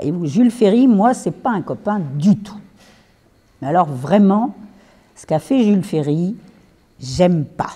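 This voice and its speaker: Very wide pitch swings in a dark, mellow, somewhat breathy tone at a very slow pace. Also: woman. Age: 70s. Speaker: retired teacher giving a talk. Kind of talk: lecture. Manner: conversational.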